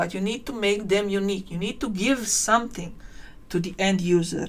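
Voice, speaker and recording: A woman with a non-native accent, medium in pitch, at a moderate pace. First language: not English. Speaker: tutorial creator. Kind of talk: live-stream tutorial. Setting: live stream. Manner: halting.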